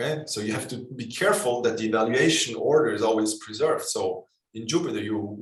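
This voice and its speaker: A very fast pace with audible room echo. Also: man. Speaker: programming workshop instructor. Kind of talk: lecture.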